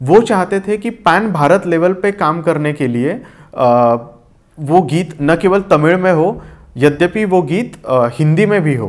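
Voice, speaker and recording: A man with a high pitch, lively intonation and a Marathi accent. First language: Marathi (speaking Hindi). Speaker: poet and lyricist. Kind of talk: interview.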